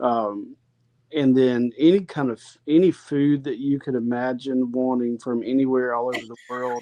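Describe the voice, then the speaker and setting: In a Southern US accent, a man with a medium pitch and dark, mellow tone talks at a moderate pace with fairly even intonation and big swings in loudness. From Alabama, US South. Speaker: real estate agent. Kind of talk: interview conversation.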